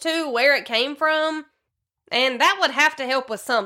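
In a very clean recording with a silent background, a woman with a Southern US accent speaks in a raised, projected voice, high-pitched and bright, sharp in tone, at a moderate pace with ordinary pitch variation. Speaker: podcast host. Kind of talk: true crime podcast narration, casual.

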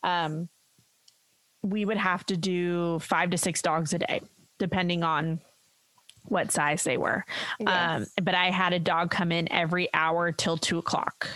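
A woman speaks at a fairly slow pace with very even loudness and long, frequent pauses. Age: 30s. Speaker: dog groomer and podcast co-host. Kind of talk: casual chat. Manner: animated.

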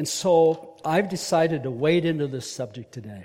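At a fairly slow pace, a man speaks with a dark, mellow tone, somewhat breathy and fairly high, his intonation lively. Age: 70s. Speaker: leadership trainer and speaker at men's ministry. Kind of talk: sermon.

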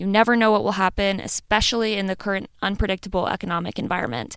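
At a very fast pace, a woman speaks with a Midwestern American accent. Her pitch is medium and her intonation fairly even. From US Midwest. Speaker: podcast host. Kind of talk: solo podcast monologue.

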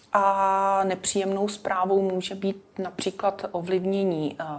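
A woman's medium-pitched voice at a very slow pace, with noticeable background noise. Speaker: dermatologist. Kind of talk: interview. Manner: formal.

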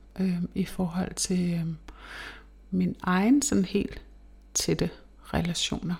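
Speaking very slowly, a woman uses a somewhat breathy voice at medium pitch. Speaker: podcast host. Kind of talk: casual monologue. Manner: halting.

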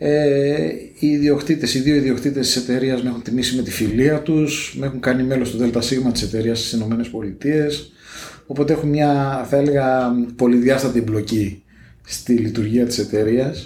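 At medium pitch, a man speaks with fairly even intonation. His pace is moderate, and there is audible room echo. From Greece, Piraeus. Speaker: negotiation consultant. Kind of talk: interview.

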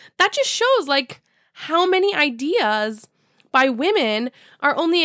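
With a Canadian accent, a woman uses a raised, projected voice and a bright, sharp, animated tone at a fairly slow pace, recorded with a dry, close sound and no echo. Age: 30s. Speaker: podcast host. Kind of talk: casual solo chat. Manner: animated, laughing often.

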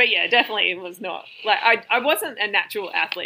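On a very clean recording with a silent background, a woman speaks at a very fast pace. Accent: Australian. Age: 30s. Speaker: Muay Thai fighter and personal trainer. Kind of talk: podcast interview. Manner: animated.

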